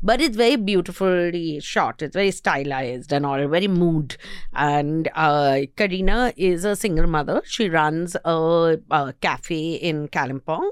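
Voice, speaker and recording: A woman with an Indian accent speaks at a fairly low pitch and a fairly slow pace, with ordinary pitch variation. The recording is very clean, with a silent background. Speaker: podcast host, entertainment reviewer. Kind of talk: casual chat. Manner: laughs often.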